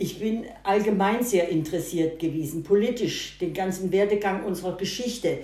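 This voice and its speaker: A woman speaks at a moderate pace with hardly any pauses, medium in pitch with ordinary pitch variation, against noticeable background noise. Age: 80s+. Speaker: grandmother. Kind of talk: casual interview. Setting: at home over breakfast. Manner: halting, repeats words.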